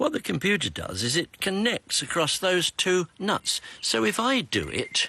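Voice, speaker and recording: Speaking with an English accent at a fairly slow pace, a man barely pauses, his dry, close sound carrying no echo over noticeable background noise. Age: 70s. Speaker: retired primary school teacher. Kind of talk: TikTok video narration.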